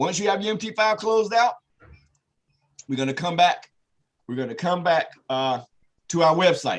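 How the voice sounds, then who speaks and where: With lively intonation and long, frequent pauses, a man speaks at a high pitch. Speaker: trading trainer. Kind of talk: tutorial. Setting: video call. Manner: fast; direct.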